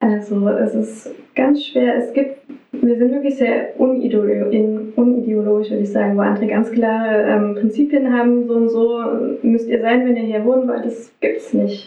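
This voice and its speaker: A woman's monotone, flat intonation at a fairly slow pace, with audible room echo and music in the background. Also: fairly high pitch for a woman. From Saxony, Radebeul near Dresden. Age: 30s. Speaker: social worker and music therapist. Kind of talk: interview.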